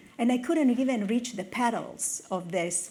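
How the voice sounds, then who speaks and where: In a room with audible echo, a woman with an Italian accent speaks somewhat breathily at a moderate pace, with ordinary pitch variation. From northern Italy. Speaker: technology executive. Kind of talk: conference talk.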